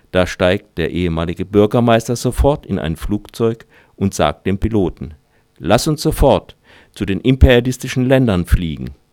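On a very clean recording with a silent background and a dry, close sound with no echo, a man speaks at a fairly low pitch with vocal fry and very wide pitch swings. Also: moderate pace. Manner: dramatic storyteller delivery, dry and ironic, mock-solemn.

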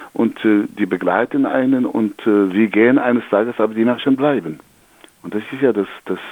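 A man with an Algerian accent talks at a moderate pace, his pitch fairly low. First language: Algerian Arabic (speaking German). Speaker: storyteller. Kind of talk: storytelling; interview. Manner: halting.

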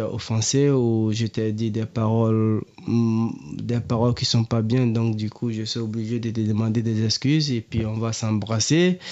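A normal speaking voice from a man, medium in pitch, at a fairly slow pace with fairly even intonation. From Ivory Coast, Abidjan. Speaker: refugee guest. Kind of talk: radio interview.

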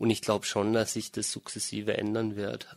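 On a very clean recording with a silent background, a man with a fairly low pitch speaks at a fairly slow pace, the sound dry and close with no echo. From Germany. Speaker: interviewee, dual citizen. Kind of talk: interview.

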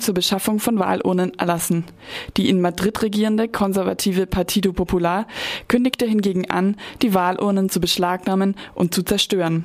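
A woman speaks at a fairly quick pace with an ordinary speaking voice and medium pitch. Her loudness stays very even and her intonation fairly even. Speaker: news reader. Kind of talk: newsreading. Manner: formal.

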